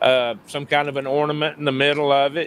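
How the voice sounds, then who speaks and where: A man speaks with a Southern US accent. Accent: Southern US (Georgia). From US South, Paulding County, Georgia. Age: 60s. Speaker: sim racing driver and hubcap business owner. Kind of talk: casual chat.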